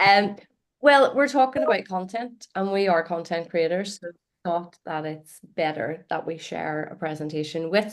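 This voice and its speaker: A woman with an Irish accent at a fairly low pitch, fairly quick in pace and lively in intonation. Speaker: marketing content creator and trainer. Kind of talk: presentation.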